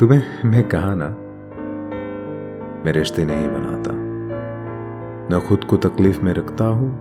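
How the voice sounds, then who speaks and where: Music plays in the background. A man speaks at a very deep, low pitch. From Bangladesh. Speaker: voice artist. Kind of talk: dramatic book reading.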